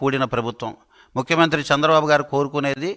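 A man's fairly high voice with a bright, sharp tone and fairly even intonation, on a very clean recording with a silent background. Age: 70s. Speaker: politician. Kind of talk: press conference statement. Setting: media briefing.

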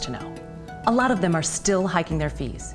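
A woman rattles along at a very fast pace with clear music in the background. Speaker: voice actor. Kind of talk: TV commercial read. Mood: friendly, confiding. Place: kitchen.

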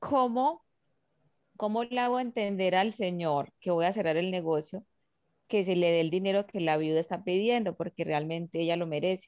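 At a moderate pace, a woman speaks with very even loudness and ordinary pitch variation in a dry sound with no echo over a quiet background. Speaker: student participant. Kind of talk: question during online class. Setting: video call. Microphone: video call.

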